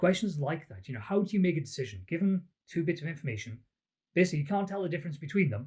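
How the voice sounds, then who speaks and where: A man with a Welsh accent talks at a very fast pace, his dark, mellow tone somewhat breathy and his pitch swinging very wide. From Wales, the Valleys. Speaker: psychology academic. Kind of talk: interview.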